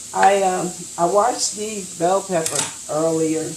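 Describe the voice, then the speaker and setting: Noticeable background noise and audible room echo surround a woman whose fairly low voice has fairly even intonation. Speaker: raw food business owner. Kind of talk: cooking tutorial. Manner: halting, many fillers.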